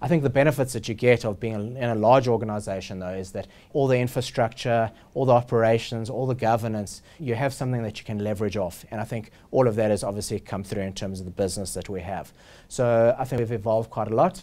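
The man speaks very fast in a dark, mellow tone. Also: ordinary pitch variation. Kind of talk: interview answer. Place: office. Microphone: lapel.

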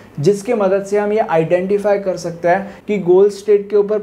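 A man with a high pitch speaks at a fairly slow pace, his intonation monotone and flat, over noticeable background noise. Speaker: engineering tutor. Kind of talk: tutorial.

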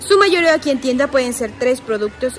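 A woman speaks at a fairly quick pace over light background noise. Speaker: shopping vlogger. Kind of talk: casual vlog chat. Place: shop. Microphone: phone near.

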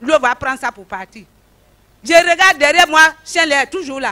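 A woman's raised, projected voice at a moderate pace over a quiet background. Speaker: church member giving testimony. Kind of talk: testimony. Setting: church. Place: stage. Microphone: handheld.

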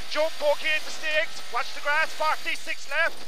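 A man's extremely high-pitched voice, dry with no echo, against noticeable background noise. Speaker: rally co-driver. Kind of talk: rapid-fire rally pacenotes read over in-car intercom at full speed. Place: car. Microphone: headset.

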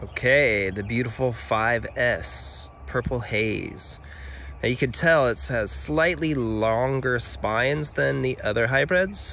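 The recording of a man has light background noise and a dry sound with no echo. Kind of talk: tutorial. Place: garden. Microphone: phone near.

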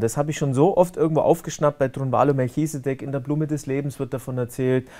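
Over a quiet background, a man with a Bavarian accent talks very fast in a fairly high pitch for a man, his intonation fairly even. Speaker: online talk show host; interviewer, show host. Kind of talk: interview. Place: studio. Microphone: lapel.

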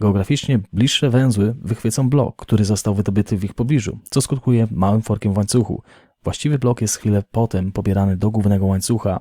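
At a very fast pace, a man with a fairly low pitch and a dark, mellow tone speaks with fairly even intonation. The sound is dry and close with no echo, on a very clean recording with a silent background. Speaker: crypto news youtuber. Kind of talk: daily news show with chat reading.

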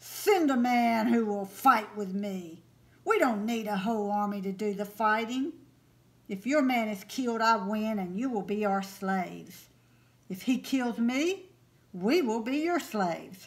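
A woman puts on a loud, booming character voice at a fairly high pitch, talking at a moderate pace. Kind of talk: storytelling lesson. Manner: taunting, challenging, shouting.

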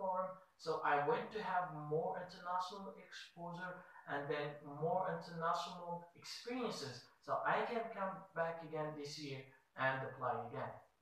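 The pace is moderate. Strong echo fills the room. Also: man. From Morocco. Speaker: student researcher. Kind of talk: application video statement. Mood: formal, earnest. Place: office.

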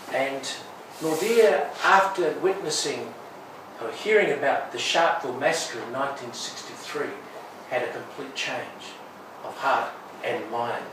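A man with lively intonation at a fairly slow pace, with long, frequent pauses, audible room echo and noticeable background noise. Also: fairly high pitch for a man. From Wales. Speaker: aid and development lecturer, guest speaker. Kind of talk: talk to church audience. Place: church. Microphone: camera far.

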